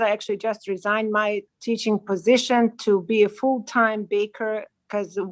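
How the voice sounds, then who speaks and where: Speaking with a Bosnian accent, a woman uses a fairly high pitch and a moderate pace. Her intonation is monotone and flat. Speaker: baker and cafe owner, former teacher. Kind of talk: self-introduction on a livestream panel.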